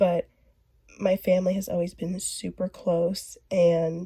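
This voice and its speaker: A woman's somewhat breathy voice comes through at a fairly low pitch with monotone, flat intonation, the sound dry and close with no echo. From US West, northern California (Ukiah). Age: young. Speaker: college student. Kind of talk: class presentation.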